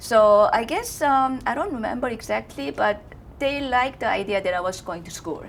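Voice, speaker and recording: A woman with a Korean accent speaks at a moderate pace, her fairly high pitch making very wide swings. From South Korea. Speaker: fashion designer. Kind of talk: interview. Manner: halting.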